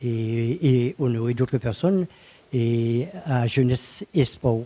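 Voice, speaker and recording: The sound is close and dry, free of any echo. A man delivers his words very slowly. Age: 70s. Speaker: retired postal worker and bodybuilder. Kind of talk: interview. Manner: halting.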